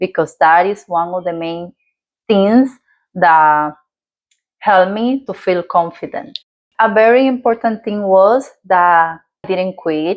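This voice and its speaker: A woman speaks at a fairly slow pace with a Dominican accent, her pitch medium and its variation ordinary. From Dominican Republic. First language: Spanish. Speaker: lifestyle vlogger. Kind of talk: personal story vlog. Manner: halting, with fillers.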